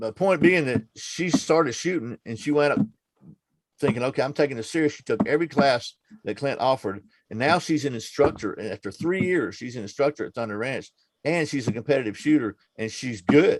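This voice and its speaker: A man in a normal speaking voice, fairly high and fairly quick, with lively intonation, big swings in loudness and a dry, close sound with no echo. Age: 60s. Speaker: firearms training channel host. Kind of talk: casual chat. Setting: video call.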